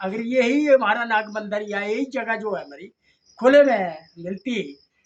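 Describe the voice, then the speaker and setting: This man's voice is pitched extremely high. Its pitch moves in an ordinary way. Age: 70s. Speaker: former village head and retired army captain. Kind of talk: interview answers.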